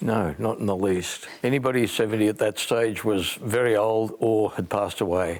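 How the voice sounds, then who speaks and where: A man with an Australian accent at a moderate pace, with hardly any pauses. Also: fairly low pitch for a man, ordinary pitch variation, very even loudness. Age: 70s. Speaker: retiree motorcycle club member. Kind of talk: interview and documentary talk.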